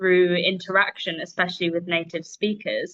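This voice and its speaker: A woman speaks with a London accent at a medium pitch. Her intonation stays monotone and flat. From London, England. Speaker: English teacher. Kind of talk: casual interview.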